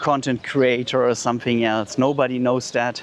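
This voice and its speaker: Noticeable background noise runs behind this man. He has a medium pitch and a German accent. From Germany. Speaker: vlogger. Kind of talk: walking vlog. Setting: outdoors. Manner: halting.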